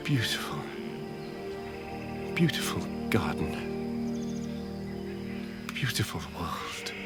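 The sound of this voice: Over loud music in the background, a man does a put-on character voice at a low pitch and a slow pace, with big pitch swings.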